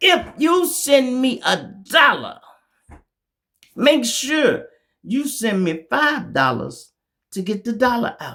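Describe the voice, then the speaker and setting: A man speaks in an extremely high pitch, his voice raised and projected with a bright, sharp tone and lively intonation. He talks at a very slow pace with long, frequent pauses. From Chicago. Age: 60s. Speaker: YouTube commentator. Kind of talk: casual monologue. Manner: animated.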